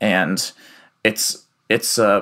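A man with an American accent talks in a bright, sharp tone marked by vocal fry. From US Midwest (Iowa City). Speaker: researcher. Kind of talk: interview. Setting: remote call from home.

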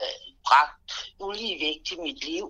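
This woman's voice sits at a medium pitch. The tone comes across bright and sharp. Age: 50s. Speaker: interviewee. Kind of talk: interview.

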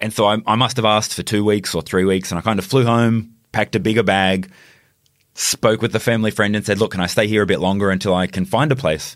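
Over a silent background in a very clean recording, a man with an Australian accent speaks very fast with fairly even intonation. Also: fairly low pitch for a man. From country Queensland, Australia. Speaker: food influencer and social media marketer. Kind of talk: interview conversation. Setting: studio.

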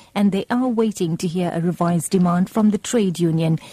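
A woman's somewhat breathy voice, medium in pitch with ordinary pitch variation and a dark, mellow tone, comes through dry and close with no echo on a very clean recording with a silent background. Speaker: radio newsreader. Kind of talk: radio news bulletin reading. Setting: radio studio. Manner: formal, brisk, even-paced newsreader delivery.

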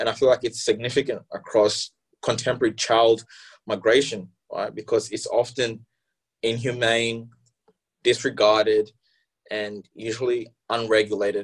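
Pausing long and often, a man speaks at a moderate pace and medium pitch, somewhat breathy, his intonation monotone and flat. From refugee camp in Malawi, Congolese-born. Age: young. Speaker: youth council candidate. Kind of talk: interview.

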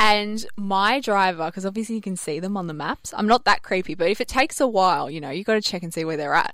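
At a very fast pace, a woman of medium pitch speaks with lively intonation and big swings in loudness, on a very clean recording with a silent background. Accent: Australian. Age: 20s. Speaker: radio host. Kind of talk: casual chat. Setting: studio.

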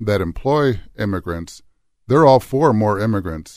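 In a plain, everyday voice, a man talks at a moderate pace and fairly low pitch with lively intonation on a very clean recording with a silent background. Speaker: talk show host. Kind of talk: panel discussion. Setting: studio.

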